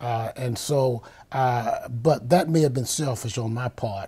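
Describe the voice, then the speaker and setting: With ordinary pitch variation, a man speaks fairly slowly at a medium pitch in a somewhat breathy voice on a very clean recording with a silent background. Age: 70s. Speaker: university band director. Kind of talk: interview.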